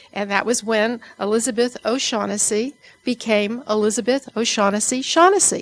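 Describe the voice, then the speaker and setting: Noticeable background noise runs under a woman's voice. She speaks at a fairly high pitch with ordinary pitch variation. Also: moderate pace. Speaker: university administrator. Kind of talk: formal introduction speech.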